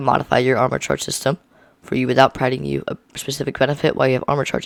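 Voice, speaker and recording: A man is speaking. The sound is dry and close, with no echo. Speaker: gaming video creator. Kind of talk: reading aloud. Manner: fast; halting.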